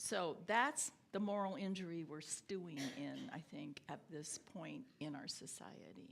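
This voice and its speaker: A woman at a fairly slow pace, with vocal fry. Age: 70s. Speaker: theologian and scholar. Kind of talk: lecture. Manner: halting.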